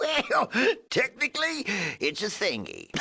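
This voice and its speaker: Putting on a character voice, a man talks at an extremely high pitch and a fairly slow pace. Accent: rural American. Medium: video game. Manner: chuckling, folksy, rambling.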